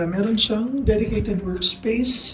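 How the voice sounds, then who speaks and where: Amid noticeable background noise and audible room echo, a woman talks at a fairly slow pace, her fairly high voice held in fairly even intonation. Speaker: travel vlogger. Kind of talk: casual vlog narration. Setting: rented room with other guests in the house; riding in a tuk-tuk. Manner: quiet, lowered voice.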